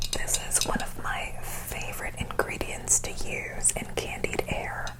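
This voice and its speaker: Someone whispers in a playful tone at a fairly slow pace. Noticeable background noise runs underneath. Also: woman. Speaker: ASMR cooking host, comedic persona. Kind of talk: ASMR cooking show parody, whispered recipe explanation. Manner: soft-spoken, whispered, playful.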